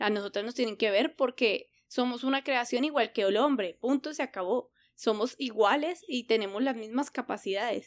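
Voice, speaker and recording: In a very clean recording with a silent background, a woman with a high pitch talks at a moderate pace with ordinary pitch variation. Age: 30s. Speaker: podcast co-host. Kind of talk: casual chat.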